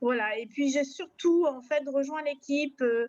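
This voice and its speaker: A woman speaks at a very slow pace with a high pitch. Her intonation stays fairly even. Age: 40s. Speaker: network marketing member. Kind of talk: testimony. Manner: hesitant, many fillers.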